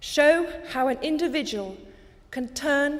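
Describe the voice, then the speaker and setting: Her pitch moves in an ordinary way. The woman talks fairly slowly. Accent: British. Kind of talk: public speech. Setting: archive recording.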